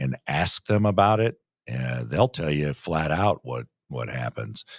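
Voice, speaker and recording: Very deep and low, a man's voice moves through very wide pitch swings at a fairly slow pace, the sound dry and close with no echo. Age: 60s. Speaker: municipal league executive director. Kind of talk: interview conversation.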